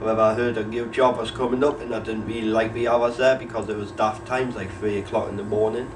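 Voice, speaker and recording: Speaking very fast in a Geordie accent, a man at a medium pitch keeps a monotone, flat intonation, with audible room echo and noticeable background noise. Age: 20s. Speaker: unemployed young person. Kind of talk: documentary interview.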